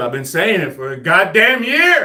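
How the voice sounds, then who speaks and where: The man's fairly quick speech carries audible room echo, with noticeable background noise behind it. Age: 40s. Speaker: army veteran and home gym fitness streamer. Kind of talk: casual live stream chat while working out.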